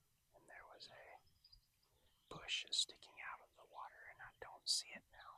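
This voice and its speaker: Moderate-paced whispering from a man. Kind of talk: ASMR fishing vlog. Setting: outdoors. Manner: soft whispering.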